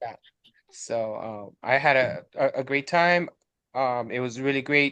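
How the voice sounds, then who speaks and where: With a bright, sharp tone, a man speaks at a fairly slow pace, his medium pitch held to a fairly even intonation. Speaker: graduate student. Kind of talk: casual chat. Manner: halting, many fillers and repeats.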